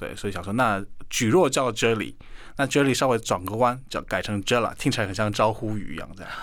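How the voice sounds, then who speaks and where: A man with a Korean accent speaks at a fairly quick pace. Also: fairly low pitch for a man, ordinary pitch variation. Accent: Korean-accented Mandarin. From South Korea. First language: Korean (speaking Chinese). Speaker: Korean language teacher and YouTuber. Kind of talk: radio interview.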